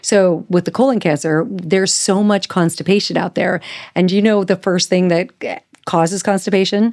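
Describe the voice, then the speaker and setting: At a moderate pace, a woman with an ordinary speaking voice talks at a medium pitch, her intonation fairly even and her loudness very even. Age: 60s. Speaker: holistic nutritionist. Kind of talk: casual interview.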